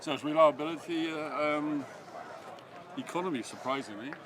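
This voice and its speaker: A man's medium-pitched voice carries audible room echo amid noticeable background noise. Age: 80s+. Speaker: motorcycle enthusiast. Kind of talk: casual chat. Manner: halting.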